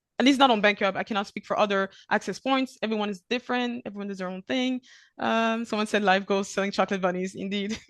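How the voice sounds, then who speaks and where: A woman's very fast speech at a medium pitch, with ordinary pitch variation, big swings in loudness, and a dry, close sound with no echo against a quiet background. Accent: French. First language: French. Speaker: e-invoicing platform presenter. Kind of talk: webinar Q&A. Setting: video call webinar. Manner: hesitant, many fillers.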